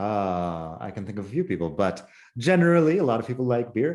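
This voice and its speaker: Speaking at a moderate pace, a man with a Spanish accent swings his pitch very widely. The recording is very clean with a silent background. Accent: speaks Spanish with mainland Spain. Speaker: Spanish teacher YouTuber. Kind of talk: casual chat. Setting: home living room.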